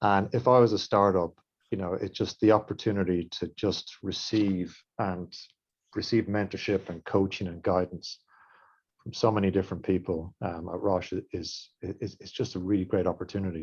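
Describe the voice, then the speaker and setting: Someone speaks with an Irish accent at a moderate pace, in a monotone, flat intonation, with big swings in loudness. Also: man, very deep, low pitch for a man. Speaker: industry mentor at diagnostics company. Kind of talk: webinar panel remarks.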